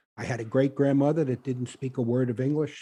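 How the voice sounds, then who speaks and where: Against a quiet background, a man speaks with an American accent. His pitch is fairly high and his tone dark and mellow. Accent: Brooklyn, comes back stronger at times. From Brooklyn, New York (Bushwick). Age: 70s. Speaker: author. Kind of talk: interview on a podcast. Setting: studio with live audience. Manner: halting, many fillers.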